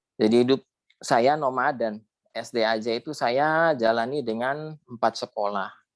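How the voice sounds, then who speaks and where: In a very clean recording with a silent background, a man speaks at a fairly slow pace with an ordinary speaking voice. His medium pitch has ordinary variation, and the sound is dry and close with no echo. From West Java, Indramayu and Cirebon area. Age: 50s. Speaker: alumnus sharing life story. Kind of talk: interview testimony.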